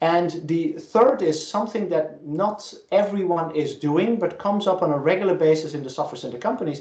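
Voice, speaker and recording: A high-pitched man with hardly any pauses, in audible room echo. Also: ordinary pitch variation. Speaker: professor. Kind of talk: lecture. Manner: fast.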